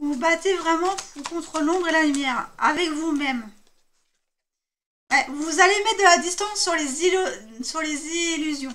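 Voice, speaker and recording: A woman talks with an extremely high pitch and a bright, sharp tone. Her pace is fairly slow, with long, frequent pauses and ordinary pitch variation. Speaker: tarot card reader. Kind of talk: tarot reading. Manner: hesitant with fillers.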